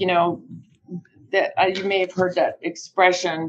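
A woman with an American accent and an ordinary speaking voice talks at a fairly slow pace and medium pitch. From United States. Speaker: business development director in solar recycling. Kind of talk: interview. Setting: video call.

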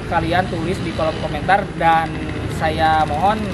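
Loud background noise surrounds the speech. A man talks at a fairly slow pace. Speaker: motorbike parts seller. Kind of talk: product review tutorial. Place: open country. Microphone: handheld.

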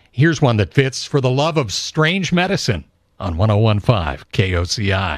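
With an American accent and vocal fry, a man talks at a moderate pace. His pitch swings very widely, and the sound is dry with no echo in a quiet background. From Southern California. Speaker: classic rock radio host. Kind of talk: radio show host patter between songs. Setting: radio broadcast. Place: studio.

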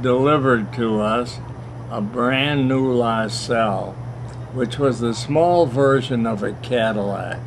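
A man speaks over noticeable background noise. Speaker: grandfather telling family stories. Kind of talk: interview answer, reminiscing. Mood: warm, reminiscing, amused. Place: garden. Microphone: camera far.

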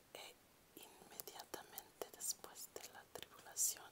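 Whispering at a very slow pace, with noticeable background noise. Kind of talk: ASMR Bible reading. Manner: whispered, soft-spoken.

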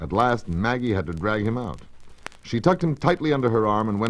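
Plain reading aloud, nothing more.

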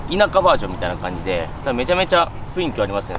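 The sound is dry with no echo, though there is noticeable background noise. A man speaks at a high pitch. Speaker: fitness vlogger. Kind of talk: casual vlog chat. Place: beach.

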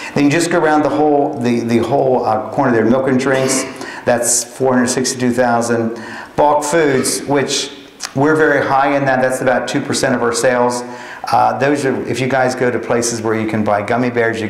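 With an American accent, a man speaks at a moderate pace and medium pitch, his intonation fairly even and his loudness very even, with audible room echo. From Pennsylvania. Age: 50s. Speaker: grocery and restaurant manager; guest. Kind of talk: guest lecture. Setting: college lecture with student audience. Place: classroom. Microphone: podium.

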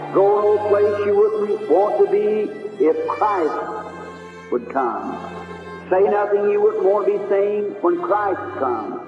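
A man speaking at a very slow pace, with clear music in the background and audible room echo. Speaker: preacher. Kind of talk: sermon excerpt, preaching. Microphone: old recording.

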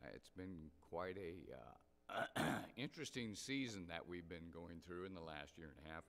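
A man's low-pitched voice with a fairly bright tone. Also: ordinary pitch variation, moderate pace.

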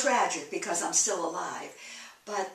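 A woman speaks at a fairly slow pace. Room echo is audible. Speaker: interviewee. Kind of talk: interview answer. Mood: candid, rueful, emotional. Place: home room. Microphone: camera far.

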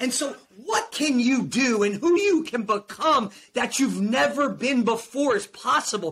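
With an American accent, a man with an extremely high voice speaks at a fairly slow pace, his tone animated and his intonation lively. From New Jersey. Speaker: performance coach and motivational speaker; performance coach, motivational speaker. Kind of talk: motivational testimony. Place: home room. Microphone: video call.

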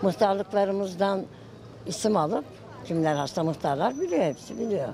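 Lively intonation marks a woman speaking at a moderate pace. The sound is dry with no echo, though background noise is noticeable. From Sivas, Turkey; Turkey. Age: 70s. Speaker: passer-by interviewed on the street; interviewee. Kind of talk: street interview. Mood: earnest, somewhat complaining. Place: street.

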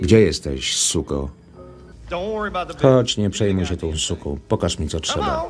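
Music plays in the background as a man talks rather slowly. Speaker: film voice-over reader. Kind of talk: film voice-over translation read. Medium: dub.

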